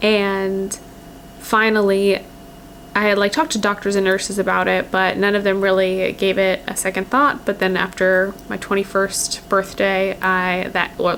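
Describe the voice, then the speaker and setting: A woman at medium pitch talks at a moderate pace in a monotone, flat manner, with noticeable background noise. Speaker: lifestyle vlogger. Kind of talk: personal vlog. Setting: at home by a windowsill. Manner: casual, hesitant with fillers.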